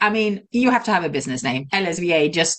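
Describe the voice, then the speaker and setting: A woman's medium-pitched voice with very wide pitch swings. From Sweden. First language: Swedish. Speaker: virtual assistant and entrepreneur. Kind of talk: interview.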